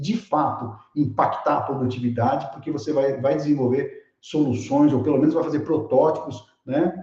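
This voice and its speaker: A man speaks at a moderate pace with a fairly high pitch and a dark, mellow tone. His voice is somewhat breathy, with audible room echo. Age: 60s. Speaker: keynote speaker, tech educator. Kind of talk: online lecture with live chat. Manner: animated, casual; repeats words, stammering restarts.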